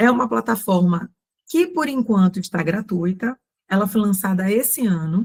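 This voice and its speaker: A woman with medium pitch speaks at a moderate pace. Her voice is somewhat breathy. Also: ordinary pitch variation. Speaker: ESG consultant and course instructor. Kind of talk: online mini-course presentation.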